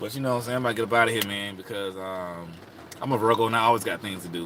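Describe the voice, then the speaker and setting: Noticeable background noise runs under a man speaking at a very fast pace. He has an American accent and ordinary pitch variation. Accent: Southern US accent, per others. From South Carolina, rural US South. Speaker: astrology advice livestreamer. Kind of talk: casual livestream chat. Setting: live stream from home. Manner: relaxed, conversational with fillers.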